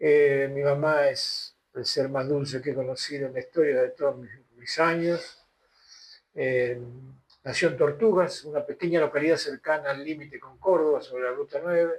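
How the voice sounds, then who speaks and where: A man with an Argentine accent speaks at a fairly high pitch and a moderate pace. His intonation stays fairly even while his loudness swings widely. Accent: Rioplatense Argentine Spanish. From Rosario, Argentina. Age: 80s+. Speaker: theatre director. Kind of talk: interview.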